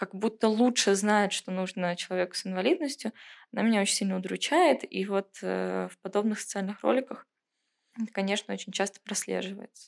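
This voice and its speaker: A woman's unremarkable speaking voice at a medium pitch and moderate pace, in a very clean recording with a silent background. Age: 20s. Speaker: museum inclusion program manager. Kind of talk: casual chat. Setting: studio.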